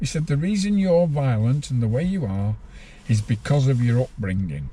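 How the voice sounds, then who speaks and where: A man with a northern English accent talks at a moderate pace in a medium pitch, his somewhat breathy, dark, mellow voice making very wide pitch swings. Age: 60s. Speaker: former prisoner. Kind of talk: interview.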